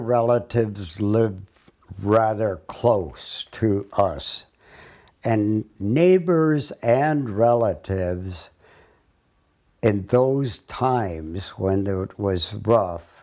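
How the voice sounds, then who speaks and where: In an Upper Midwest accent, a man speaks at a very slow pace. His tone is dark and mellow, and his intonation is lively. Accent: Upper Midwest rural American. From North Dakota. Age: 80s+. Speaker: retired farmer. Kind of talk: oral history reminiscence. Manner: halting.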